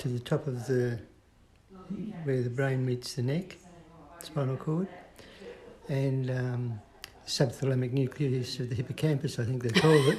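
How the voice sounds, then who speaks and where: Medium-pitched man with an Australian accent and fairly even intonation. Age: 60s. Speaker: person living with Parkinson's. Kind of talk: interview.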